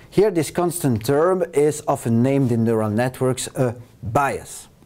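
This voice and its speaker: Lively in intonation, a man's dark, mellow voice moves at a fairly slow pace. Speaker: university lecturer. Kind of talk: lecture. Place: studio.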